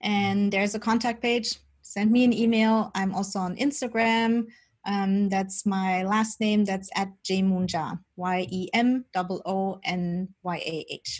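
A woman's very slow, somewhat breathy voice at medium pitch, with fairly even intonation over a quiet background. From Germany. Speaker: spiritual medium and teacher. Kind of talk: interview about spirituality.

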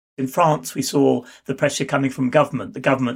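Speaking with a British accent, a man moves at a fairly quick pace with a medium pitch. His intonation is fairly even, with vocal fry. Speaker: university researcher. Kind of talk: interview.

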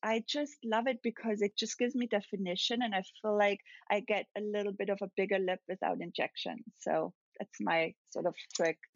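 With a German accent, a woman talks at a medium pitch and moderate pace with ordinary pitch variation. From Austria, near Salzburg. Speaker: celebrity makeup artist. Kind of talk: interview.

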